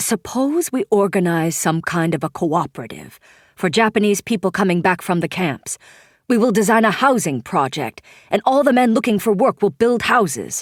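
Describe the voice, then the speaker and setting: A woman's gruff, put-on character voice at medium pitch, with very wide pitch swings, very even loudness and a moderate pace, in a very clean, dry, close recording with no echo and a silent background. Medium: read story.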